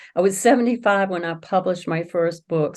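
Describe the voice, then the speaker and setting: Speaking in a Southern US accent, a woman of medium pitch uses lively intonation. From US South. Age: 70s. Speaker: author. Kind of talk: interview.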